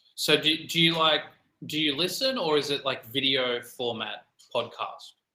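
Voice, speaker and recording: Speaking with an Australian accent, a man with a fairly high pitch keeps a moderate pace and ordinary pitch variation. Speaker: English conversation tutor. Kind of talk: casual conversation practice. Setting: online call.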